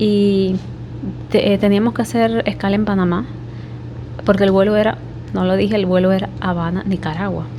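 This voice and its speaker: Speaking with an eastern Cuban accent at a moderate pace, a woman is heard over noticeable background noise. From Cuba, Holguín (eastern Cuba). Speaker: vlogger. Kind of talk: personal story vlog. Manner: speaking quietly.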